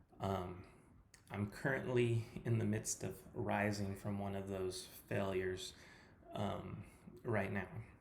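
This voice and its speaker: Speaking with an American accent, a man uses a fairly low pitch and fairly even intonation. Audible room echo surrounds his voice. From California. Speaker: personal trainer. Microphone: poor sound quality.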